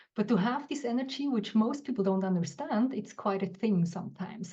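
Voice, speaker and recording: This woman's voice has a dark, mellow tone and is somewhat breathy. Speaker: guest, business coach. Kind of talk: reflective talk on live show. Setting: live online show. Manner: halting, with fillers.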